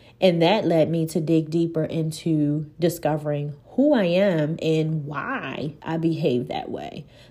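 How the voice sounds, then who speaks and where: Her pitch very deep and low, a woman talks at a fairly slow pace in a dark, mellow tone with hardly any pauses. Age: 40s. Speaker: podcast host, life coach and nurse. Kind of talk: solo podcast talk.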